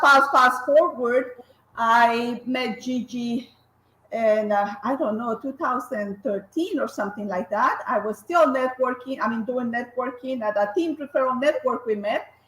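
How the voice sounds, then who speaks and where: Moving at a fairly slow pace, a woman speaks at a high pitch with ordinary pitch variation. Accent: Colombian. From Colombia. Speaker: graphic designer and business owner. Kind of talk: interview. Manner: hesitant, many fillers and restarts.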